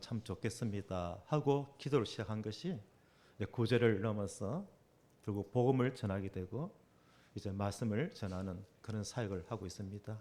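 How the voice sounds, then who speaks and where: With a Gyeongsang accent, a man speaks at a moderate pace in a dark, mellow tone, medium in pitch, with ordinary pitch variation. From South Korea, Busan. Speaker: preacher. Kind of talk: sermon. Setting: church.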